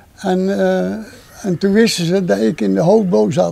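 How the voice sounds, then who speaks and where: A man speaks at a high pitch in a dark, mellow tone. His pitch swings are very wide. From North Brabant, Netherlands (Land van Cuijk area). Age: 90s. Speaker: elderly man celebrating 70th wedding anniversary. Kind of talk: interview at home. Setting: home visit with camera. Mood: calm, thankful. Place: garden.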